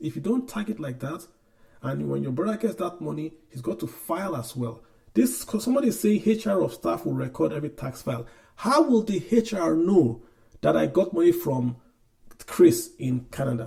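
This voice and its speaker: Vocal fry marks this man's dark, mellow tone. His pitch swings very widely. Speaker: podcast host, finance commentator. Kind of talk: casual explanatory chat.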